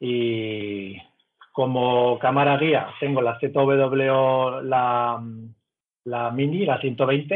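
Intonation stays fairly even while the words come out at a very slow pace. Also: man, medium pitch for a man. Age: 40s. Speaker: amateur astrophotographer. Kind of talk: casual interview.

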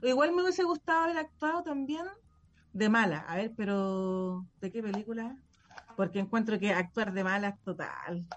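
In a Chilean accent, a woman speaks at a moderate pace in a somewhat breathy, fairly high voice with very wide pitch swings. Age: 40s. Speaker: radio show guest. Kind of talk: casual chat.

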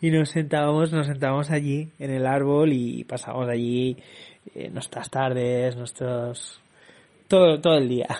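A man talks at a fairly slow pace with fairly even intonation over noticeable background noise. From Barcelona, Spain. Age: young. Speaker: podcaster. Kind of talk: casual monologue.

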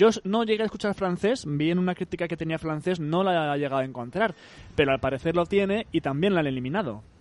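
A man speaks at a fairly quick pace, his pitch fairly high with ordinary variation. The sound is dry and close, with no echo. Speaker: video game podcast host. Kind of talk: casual chat. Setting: remote call from home.

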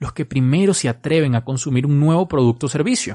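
In a dry, close recording with no echo and a quiet background, a man speaks at a moderate pace with ordinary pitch variation. His fairly high voice is somewhat breathy, with a dark, mellow tone. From Venezuela. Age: 20s. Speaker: marketing podcaster. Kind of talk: solo podcast advice talk.

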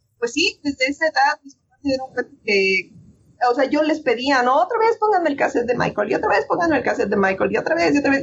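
Her pitch swings very widely as the woman speaks. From Mexico City. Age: 30s. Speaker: voice actress. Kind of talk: interview.

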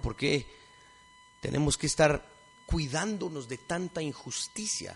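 Amid noticeable background noise, a man talks with lively intonation at a fairly high pitch. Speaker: lecturer. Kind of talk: lecture.

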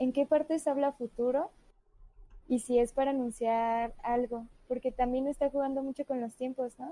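A woman's high-pitched voice with a dark, mellow tone, fairly even intonation and a moderate pace, dry and close with no echo. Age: 20s. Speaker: podcast co-host. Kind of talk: casual chat. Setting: live stream.

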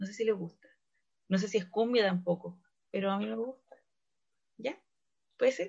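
A woman with a medium pitch and a somewhat breathy voice speaks at a moderate pace. She leaves long, frequent pauses. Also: fairly even intonation. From Valparaíso, Chile. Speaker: radio host. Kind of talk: casual radio chat.

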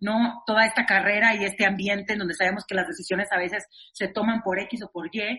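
At a fairly quick pace, a woman talks in a medium pitch with fairly even intonation. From Monterrey, northern Mexico. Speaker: actress and singer. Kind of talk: interview conversation. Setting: remote recording.

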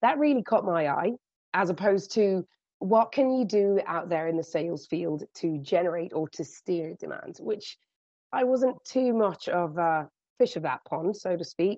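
A woman with a British accent speaks at a moderate pace. Her pitch is medium and her intonation lively. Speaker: hotel revenue management director. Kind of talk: interview.

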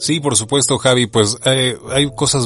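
A man speaks in a normal speaking voice at a medium pitch. His pace is moderate. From Mexico. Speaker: voice-over artist and audiobook narrator. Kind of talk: casual interview chat.

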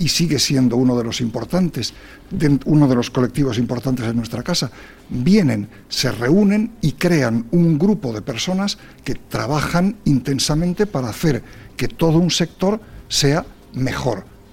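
The man has a normal speaking voice with a fairly high pitch. He talks at a fairly slow pace with lively intonation. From Spain. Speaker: quality association president and engineer. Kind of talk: radio interview.

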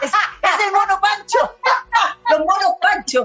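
A woman speaks at a moderate pace in a Chilean accent. Her pitch swings very widely over noticeable background noise. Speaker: podcast host and actress. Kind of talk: casual chat.

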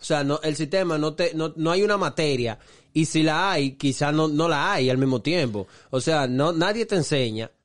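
A speaker with a Dominican accent talks at a moderate pace with ordinary pitch variation. The loudness stays very even against a quiet background. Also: man, fairly high pitch for a man. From Dominican Republic (Santo Domingo). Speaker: podcast co-host. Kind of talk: casual chat.

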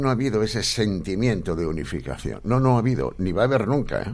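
A man speaks fairly quickly with vocal fry. His pitch sits fairly low. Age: 40s. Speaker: radio host. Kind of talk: radio interview and political chat.

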